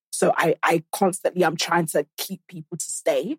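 A woman with a British accent speaks at a moderate pace in a fairly low pitch. The sound is dry and close, with no echo. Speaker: podcaster. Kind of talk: casual chat. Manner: animated.

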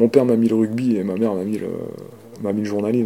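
Talking very fast, a man delivers his words in a flat monotone at a fairly low pitch. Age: 40s. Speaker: sports journalist. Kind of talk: interview testimony. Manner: halting.

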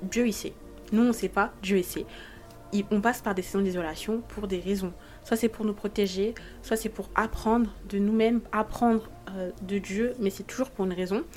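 Music plays in the background as a woman speaks at a moderate pace. Her intonation is fairly even, with long, frequent pauses. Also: medium pitch for a woman. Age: 20s. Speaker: podcast host. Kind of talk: casual monologue. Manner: hesitant.

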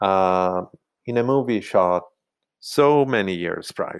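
Very slowly, a man speaks with ordinary pitch variation. The recording is very clean, with a silent background. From Italy. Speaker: costume designer. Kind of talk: interview.

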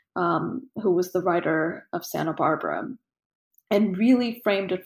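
A woman speaks with vocal fry at a medium pitch, using ordinary pitch variation. Her pace is moderate and the background is quiet. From Russia, Armenian family, then California. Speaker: photographer. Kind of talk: interview conversation. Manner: halting with repeated words.

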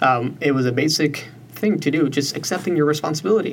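Speech in an American accent moves at a moderate pace with ordinary pitch variation. Audible room echo is present. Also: man. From US Southwest, South Tucson, Arizona. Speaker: recent college graduate. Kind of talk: interview conversation.

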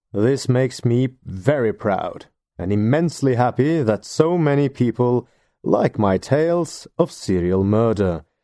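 With a Norwegian accent, a man speaks fairly slowly at a medium pitch, his dark, mellow tone and lively intonation caught in a dry, close sound with no echo against a quiet background. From Norway. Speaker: podcast host. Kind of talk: scripted narration.

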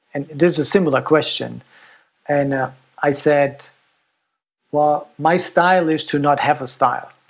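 A man with a German accent, fairly high in pitch, in a monotone, flat intonation at a moderate pace with long, frequent pauses. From Germany. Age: 50s. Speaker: ultrarunner and designer. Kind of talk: casual interview chat.

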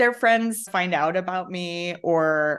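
A woman's ordinary speaking voice, medium in pitch with ordinary pitch variation, over a quiet background. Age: 50s. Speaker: social media comedian. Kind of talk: casual chat.

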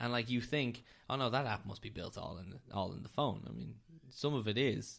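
A man talks at a fairly quick pace with a Dublin accent. His voice has vocal fry, a medium pitch and ordinary pitch variation. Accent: Dublin Irish. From Dublin, Ireland. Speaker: data scientist. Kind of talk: casual interview chat. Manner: halting, many repetitions and fillers.

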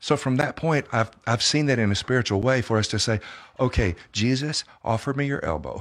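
A man talks in a plain, everyday voice at a medium pitch, with ordinary pitch variation. He moves at a fairly quick pace over a quiet background. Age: 60s. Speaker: pastor and author. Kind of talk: interview testimony. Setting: studio.

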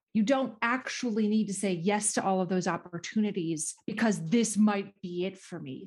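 A woman with an American accent speaks in a somewhat breathy voice at medium pitch, with ordinary pitch variation. Her pace is moderate, with hardly any pauses. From US Midwest, northern Minnesota. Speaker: podcast host.

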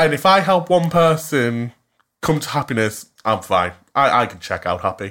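In a Cumbrian accent, a man speaks at a moderate pace with a fairly high pitch, a bright, sharp and animated tone and very wide pitch swings, on a very clean recording with a silent background. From Cumbria, northern England. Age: 20s. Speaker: podcast co-host. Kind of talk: casual chat.

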